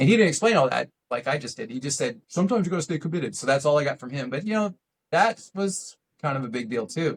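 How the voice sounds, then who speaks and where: Somewhat breathy and fairly high-pitched, a man races along at a very fast pace with very wide pitch swings. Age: 60s. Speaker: RC aerobatics pilot. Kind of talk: casual interview chat. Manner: hesitant, many fillers.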